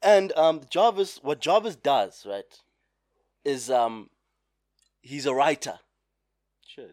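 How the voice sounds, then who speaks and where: Speaking very slowly with long, frequent pauses, a man uses a fairly high pitch and very wide pitch swings. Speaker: podcast co-host. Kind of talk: casual chat.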